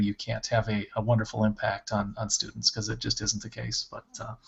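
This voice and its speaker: A man speaks at a fairly quick pace in a fairly low pitch. His voice is somewhat breathy. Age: 40s. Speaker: school principal. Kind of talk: casual interview on a video podcast.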